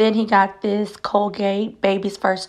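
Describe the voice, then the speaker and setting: A woman at medium pitch is heard through noticeable background noise. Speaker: mom vlogger. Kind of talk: show-and-tell haul video.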